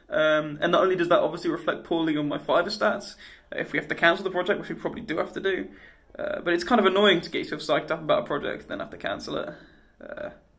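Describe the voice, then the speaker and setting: A man talks at a very fast pace and a high pitch. The background is quiet. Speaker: freelancer vlogger. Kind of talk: casual vlog chat. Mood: deflated, a bit frustrated. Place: office. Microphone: phone near.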